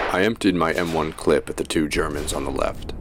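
A man's voice over noticeable background noise. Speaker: actor reading veteran accounts and speeches. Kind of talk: dramatized reading of first-person war memoir.

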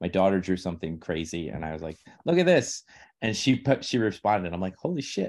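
The speaker has an American accent and talks at a very fast pace. The background is quiet. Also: man. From New York City (Queens). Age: 40s. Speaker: poet and teacher. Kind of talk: casual interview.

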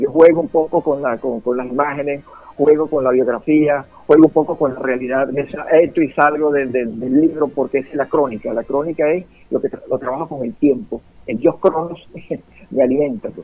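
With a Venezuelan accent, the speaker talks at a moderate pace with ordinary pitch variation. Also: man, fairly high pitch for a man. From Venezuelan llanos, Guárico. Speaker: writer and poet. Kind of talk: radio interview.

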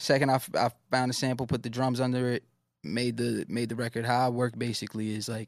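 A man with a New York accent speaks very fast at medium pitch in a flat monotone. The recording is very clean and dry, close with no echo and a silent background. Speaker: rapper. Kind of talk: casual interview. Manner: casual, slang-heavy.

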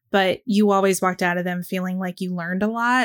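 A woman's plain, everyday voice at medium pitch, fairly even intonation, dry, close sound with no echo, and a very clean recording with a silent background. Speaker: podcast co-host. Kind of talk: casual chat.

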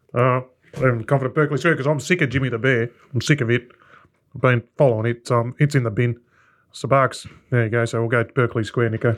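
Speech runs at a very fast pace, broken by long, frequent pauses. Intonation is fairly even over a quiet background. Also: man, medium pitch for a man. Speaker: racing podcast co-host.

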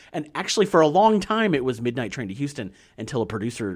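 On a very clean recording with a silent background, a man speaks at a very fast pace with vocal fry and very wide pitch swings. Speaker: podcast host. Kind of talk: casual chat.

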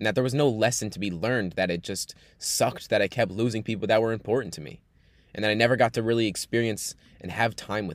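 In a very clean recording with a silent background, a man speaks at a very fast pace and fairly low pitch, with ordinary pitch variation and big swings in loudness. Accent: American. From New York. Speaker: podcast host and coach. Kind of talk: personal monologue.

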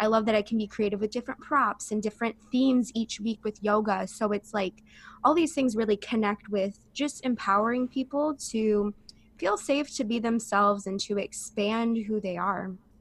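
In a dry, close sound with no echo, a woman talks at a moderate pace with a fairly high, somewhat breathy voice and ordinary pitch variation. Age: 20s. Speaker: holistic coach and yoga teacher. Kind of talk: casual interview.

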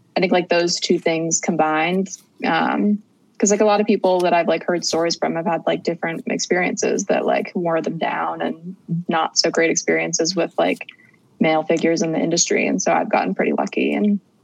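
Talking fairly quickly in an American accent, a woman is heard through noticeable background noise. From US Midwest, Cincinnati, Ohio. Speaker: tour manager. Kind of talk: interview.

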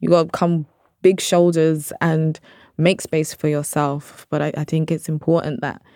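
A woman with a London accent, a very deep, low voice, a dark, mellow tone, and monotone, flat intonation, in a very clean recording over a silent background. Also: dry, close sound with no echo. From South London (Brixton), British Nigerian. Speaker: journalist and producer. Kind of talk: casual interview.

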